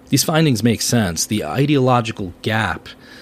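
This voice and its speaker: A normal speaking voice with an American accent at a moderate pace. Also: man. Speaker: podcast host. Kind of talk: interview conversation.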